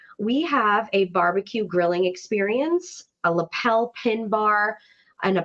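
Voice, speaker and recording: A woman with an American accent and a fairly high pitch sounds animated, with lively intonation over a quiet background. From New York. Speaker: webinar host, brand events executive. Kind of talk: webinar presentation. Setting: online webinar.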